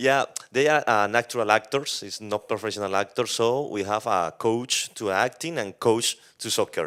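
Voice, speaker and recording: Speaking at a moderate pace in a Colombian accent, a man with a medium pitch shows ordinary pitch variation on a very clean recording with a silent background. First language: Spanish. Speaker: film director. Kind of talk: post-screening Q&A. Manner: halting.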